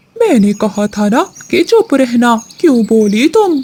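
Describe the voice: A fairly high, female-sounding cartoonish character voice at a fairly slow pace.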